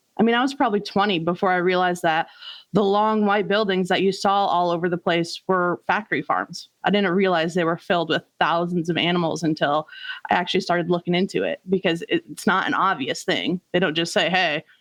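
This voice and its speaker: A woman with a Midwestern American accent speaks at a fairly quick pace, her pitch medium and its variation ordinary. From rural Iowa. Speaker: community organizer. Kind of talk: interview testimony.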